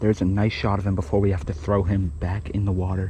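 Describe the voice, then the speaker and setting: A quiet man with an American accent speaks fairly quickly in a fairly low pitch, with noticeable background noise. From Boston, Massachusetts. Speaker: fishing youtuber. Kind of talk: casual vlog commentary. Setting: outdoors by a creek. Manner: quiet, subdued while catching fish.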